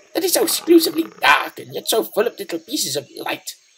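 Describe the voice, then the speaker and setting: A put-on character voice pipes up at a high pitch. It races along at a very fast pace. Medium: read story.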